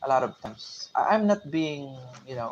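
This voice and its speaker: With a Filipino accent, a man talks at a fairly high pitch with lively intonation. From Philippines. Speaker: tech vlogger, former call center agent. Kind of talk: casual livestream talk. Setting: live stream from a boarding house. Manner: halting, many fillers.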